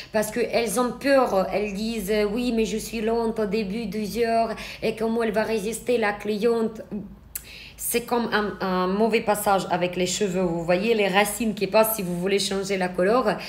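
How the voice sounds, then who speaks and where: A woman speaks with a non-native accent at a fairly slow pace. Her voice is fairly high-pitched and her intonation monotone and flat. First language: not French (speaking French). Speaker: eyelash extension trainer. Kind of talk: live stream Q&A tutorial. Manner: hesitant, with fillers.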